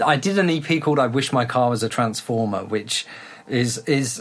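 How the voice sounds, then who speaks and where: A man with a British accent, medium in pitch, speaking at a moderate pace with lively intonation. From UK. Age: 30s. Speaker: electronic music producer. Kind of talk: casual interview chat.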